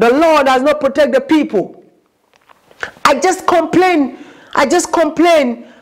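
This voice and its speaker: With a quiet background, a woman speaks at a high pitch and a fairly slow pace, her loudness very even, her pitch variation ordinary, and her long pauses frequent. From Ghana. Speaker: YouTube vlogger. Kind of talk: vlog monologue. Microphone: lapel.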